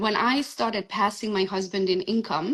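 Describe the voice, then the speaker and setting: With a Hungarian accent, a woman speaks at a moderate pace using ordinary pitch variation. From Transylvania, Romania (Hungarian). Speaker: real estate agent. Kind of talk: interview.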